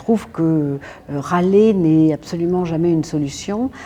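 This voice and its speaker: A woman's very deep, low voice with ordinary pitch variation, over noticeable background noise. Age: 60s. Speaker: feminist activist, association president. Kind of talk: documentary interview. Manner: hesitant, many filler sounds.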